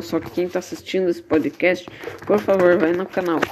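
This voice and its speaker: Clear background noise accompanies speech delivered rather briskly. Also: man. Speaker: amateur podcaster, youtuber. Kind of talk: casual chat.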